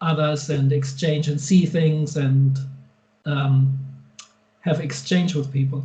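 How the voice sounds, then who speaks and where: The speaker has a German accent and monotone, flat intonation. Audible room echo surrounds the voice. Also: man. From Germany. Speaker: guitar pedal and amp maker. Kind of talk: interview. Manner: halting.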